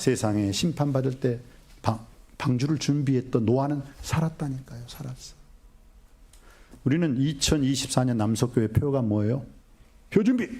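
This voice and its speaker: Animated in tone and somewhat breathy, a man with medium pitch and ordinary pitch variation talks at a moderate pace, leaving long, frequent pauses. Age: 60s. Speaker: pastor. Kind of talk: sermon.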